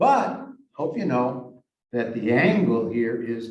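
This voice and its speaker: A man with a Western Massachusetts accent speaks at medium pitch. Room echo is audible. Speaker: math teacher. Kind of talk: lecture. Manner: halting.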